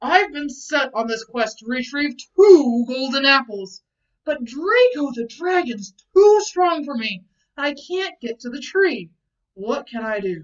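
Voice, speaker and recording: In a put-on character voice, a woman speaks fairly slowly at a high pitch, with very wide pitch swings and big swings in loudness. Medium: read story. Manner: earnest.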